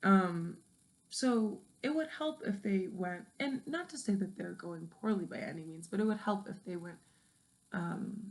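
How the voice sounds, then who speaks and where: A somewhat breathy woman at medium pitch, fairly slow, with lively intonation and big swings in loudness. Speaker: vlogger. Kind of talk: late-night personal monologue. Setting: in the dark at night. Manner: halting, many fillers.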